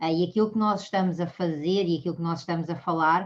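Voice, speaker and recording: A woman speaks with a Portuguese accent and fairly even intonation. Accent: Portuguese accent, kept. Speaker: mediation speaker. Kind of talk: lecture. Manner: halting, many fillers.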